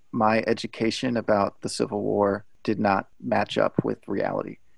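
A man's fairly low voice with vocal fry, at a moderate pace, in a dry, close sound with no echo. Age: young. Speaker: pastor. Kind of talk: casual chat. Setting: video call.

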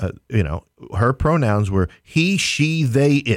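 A man with a New York accent speaks at a moderate pace, his pitch swinging very widely. The recording is very clean and dry, with a close sound, no echo and a silent background. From New York City, Queens. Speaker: theater company owner. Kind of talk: casual chat. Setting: studio.

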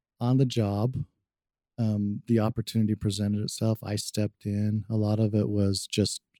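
A man's fairly low, dark and mellow voice with an American accent, flat and monotone, in a dry, close recording with no echo. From Utah, Salt Lake City. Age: 40s. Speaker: clinical social worker and professor. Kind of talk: interview.

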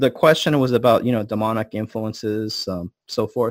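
Here a man speaks with a Californian accent. The recording is very clean with a silent background. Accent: Californian American English. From US West Coast, Los Angeles. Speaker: energy healing expert. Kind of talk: interview.

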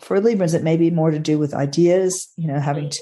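Husky and dark, mellow in tone, a woman's fairly low-pitched voice moves at a fairly quick pace. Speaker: astrologer co-host.

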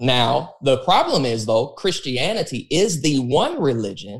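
A man uses a plain, everyday voice, pitched fairly high, with lively intonation at a moderate pace. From Texas, born in Los Angeles suburbs. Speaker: pastor. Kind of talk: casual interview conversation.

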